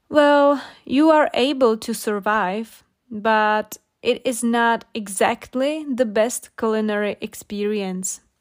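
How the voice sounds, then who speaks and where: On a very clean recording with a silent background, a woman speaks with a non-native accent. Her pitch is fairly high with ordinary variation, and her pace is very slow. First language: not English. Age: 20s. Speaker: English-learning podcaster. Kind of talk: storytelling with vocabulary explanations. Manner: slow, clear.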